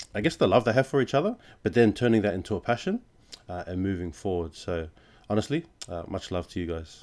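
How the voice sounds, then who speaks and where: This man has a fairly low pitch and an Australian accent. The recording is very clean, with a silent background. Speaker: podcast host. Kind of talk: casual chat.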